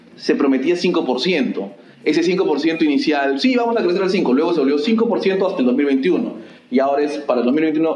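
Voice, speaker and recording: A man with very even loudness, audible room echo and noticeable background noise. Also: fairly high pitch for a man, lively intonation, moderate pace. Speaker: podcast host. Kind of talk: interview.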